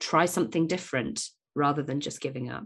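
In a British accent, a woman speaks with lively intonation. The background is quiet. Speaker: podcast host, business coach for mothers. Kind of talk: solo podcast monologue, motivational talk.

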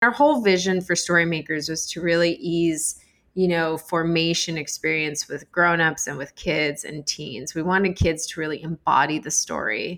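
In a normal speaking voice with an American accent, a woman talks at a moderate pace with hardly any pauses, a fairly low pitch, fairly even intonation, and big swings in loudness. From Arizona. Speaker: founder of a children's Bible storytelling organization. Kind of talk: interview.

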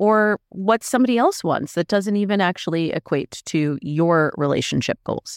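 An unremarkable speaking voice from a woman at medium pitch, moderate pace and lively intonation, in a dry, close sound with no echo. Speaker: dating coach. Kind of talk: interview.

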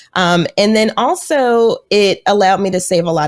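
A woman's normal speaking voice at medium pitch with lively intonation, on a very clean recording with a silent background. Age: 30s. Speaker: financial counselor and podcast host. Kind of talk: podcast interview.

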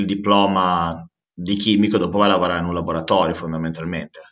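This man speaks with fairly even intonation. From Modena, northern Italy. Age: 30s. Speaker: recruitment company founder. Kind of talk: interview. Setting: remote call. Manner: hesitant, many fillers and repetitions.

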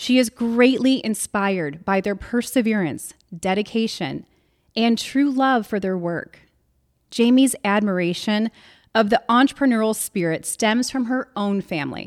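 On a very clean recording with a silent background, a woman with an American accent and a fairly high pitch uses an ordinary speaking voice, ordinary pitch variation and a fairly slow pace. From US Midwest, Illinois. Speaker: podcast host. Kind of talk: scripted narration. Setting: studio.

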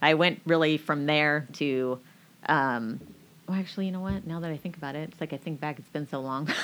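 Recorded very cleanly against a silent background, a woman with an American accent speaks in a very deep, low pitch at a fairly quick pace, with ordinary pitch variation and big swings in loudness. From Washington State, US (Marysville). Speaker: clothing store owner. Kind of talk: interview. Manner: animated.

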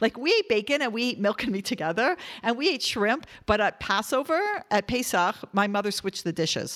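This woman has a normal speaking voice with a fairly high pitch. She talks at a fairly quick pace with lively intonation. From Canada, Toronto. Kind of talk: interview storytelling.

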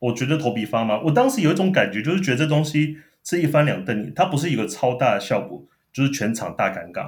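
Vocal fry colors the voice. It moves at a very fast pace with lively intonation. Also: man, fairly high pitch for a man. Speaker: former TV producer. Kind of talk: casual chat. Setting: remote call.

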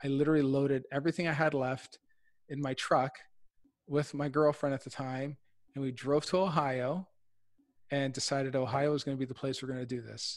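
Against a quiet background, a man with an Ontario accent talks at a fairly quick pace and a fairly high pitch, with monotone, flat intonation and long, frequent pauses. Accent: Canadian (Ontario). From Windsor, Ontario, Canada. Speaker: real estate investor. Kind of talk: interview.

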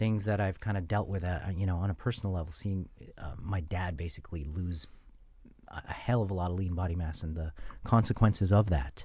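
Very deep, low male voice, dark and mellow, somewhat breathy, with ordinary pitch variation and a fairly quick pace. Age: 40s. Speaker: nutrition researcher. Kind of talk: casual chat. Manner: halting.

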